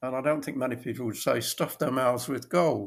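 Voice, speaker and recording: A man with a British accent speaks at a medium pitch and a moderate pace, his voice somewhat breathy. His pitch varies in an ordinary way on a very clean recording with a silent background. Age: 80s+. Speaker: copywriter. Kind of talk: interview answer.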